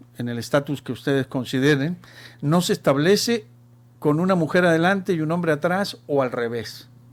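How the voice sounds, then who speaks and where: A man with a Chilean accent, fairly high-pitched, at a moderate pace with ordinary pitch variation, on a very clean recording with a silent background. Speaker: marketing professional and teacher. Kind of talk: radio talk show discussion. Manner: halting.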